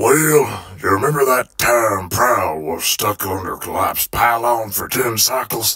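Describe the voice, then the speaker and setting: In a raspy, put-on character voice, a man speaks at a fairly slow pace with hardly any pauses. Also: medium pitch for a man. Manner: blunt, wry.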